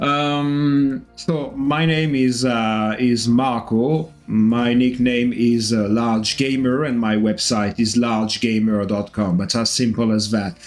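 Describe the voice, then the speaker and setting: Over noticeable background noise, a man with a French accent speaks at a very slow pace with hardly any pauses and very even loudness. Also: medium pitch for a man, ordinary pitch variation. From France. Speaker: gaming YouTuber. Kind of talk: gameplay tutorial. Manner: hesitant, many fillers; casual, unscripted.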